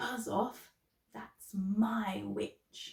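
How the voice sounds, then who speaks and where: A woman puts on a character voice at a fairly high pitch. The sound is croaky and growling. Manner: menacing.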